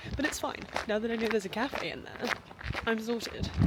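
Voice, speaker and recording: A woman talks at a fairly quick pace. Noticeable background noise can be heard behind her. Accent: British. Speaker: university student vlogger. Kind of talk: casual vlog narration. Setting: outdoors walking; library. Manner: whispering in library.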